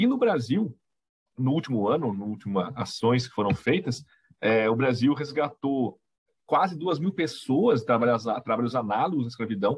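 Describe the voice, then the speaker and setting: This man has a normal speaking voice, set at a medium pitch with ordinary variation and delivered at a moderate speed. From Brazil, Itapira (São Paulo state). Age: 40s. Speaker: history teacher. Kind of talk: casual chat.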